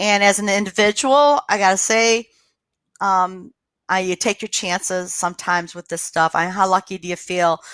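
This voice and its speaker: Recorded dry and close with no echo in a very clean recording with a silent background, a woman with a plain, everyday voice speaks at a moderate pace with ordinary pitch variation. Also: medium pitch for a woman. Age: 60s. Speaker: public health officer. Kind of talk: public health briefing. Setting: livestream from home.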